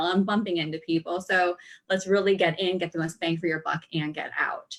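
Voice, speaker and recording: A woman with a medium pitch talks at a fairly quick pace. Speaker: dietitian and nutrition coach. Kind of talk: online workshop presentation. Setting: live video stream. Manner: fast.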